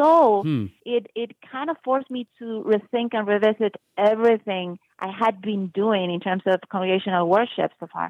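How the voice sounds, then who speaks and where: Speaking with a Spanish accent, a woman uses a medium pitch with ordinary pitch variation. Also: moderate pace. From Uruguay. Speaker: music professor. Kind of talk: interview.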